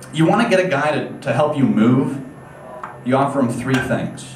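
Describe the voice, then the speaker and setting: Moderate-paced speech with an American accent, audible room echo and noticeable background noise. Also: man. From upstate New York. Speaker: comedian. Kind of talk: stand-up. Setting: stage with audience. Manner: casual, hesitant with many fillers.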